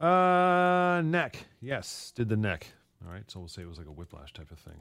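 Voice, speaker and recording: Moderately paced speech from a man, very clean recording and silent background. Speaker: radio host. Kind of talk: live radio show chat. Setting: radio studio. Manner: casual, joking.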